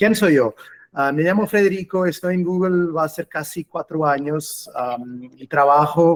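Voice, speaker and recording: This man has a Portuguese accent and ordinary pitch variation. He talks at a fairly slow pace. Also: dry, close sound with no echo. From Portugal. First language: Portuguese (speaking Spanish). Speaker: cloud customer engineer. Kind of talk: webinar presentation. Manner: hesitant, with fillers.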